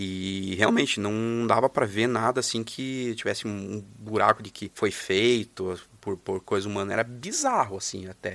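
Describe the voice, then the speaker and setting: A man talks at a moderate pace in a plain, everyday voice. His pitch is fairly low and his intonation fairly even. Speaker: guest storyteller. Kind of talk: storytelling.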